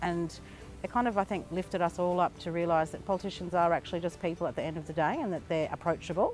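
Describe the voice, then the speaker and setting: A woman's very fast, fairly low voice with an Australian accent, fairly even intonation, a dry sound with no echo, and clear music in the background. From north-east Arnhem Land, Australia. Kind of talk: interview answer. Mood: calm, reflective. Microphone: lapel.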